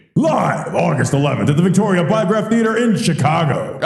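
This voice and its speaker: Delivered at a fairly quick pace, this put-on character voice rings with a clear echo. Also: man, high pitch for a man. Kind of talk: announcer voice.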